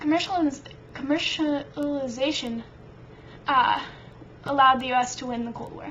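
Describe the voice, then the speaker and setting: Amid noticeable background noise, a woman with a high pitch speaks in big swings of loudness, broken by long, frequent pauses. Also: fairly even intonation, moderate pace. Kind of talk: casual history study lecture.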